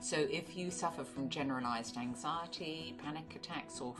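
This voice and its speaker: A woman's very deep, low voice at a moderate pace, with music in the background. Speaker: author, therapist, podcaster. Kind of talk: promotional spot.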